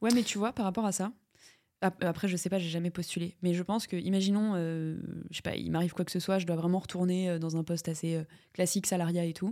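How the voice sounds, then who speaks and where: Speaking at a fairly quick pace, a woman has a dark, mellow tone in a very clean recording with a silent background. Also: fairly low pitch for a woman. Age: 20s. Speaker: entrepreneur. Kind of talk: interview. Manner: casual, hesitant.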